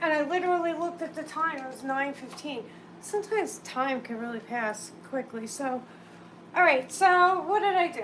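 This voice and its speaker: A high-pitched woman's voice with ordinary pitch variation and audible room echo. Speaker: candle maker streaming live. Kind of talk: casual live stream chat. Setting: live stream at home. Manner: hesitant, many fillers.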